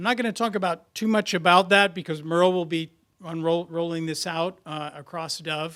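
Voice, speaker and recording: Recorded very cleanly with a silent background, a man with a high pitch and a bright, sharp tone talks at a moderate pace with fairly even intonation. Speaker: nonprofit leader and strategic planning consultant. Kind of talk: conference talk.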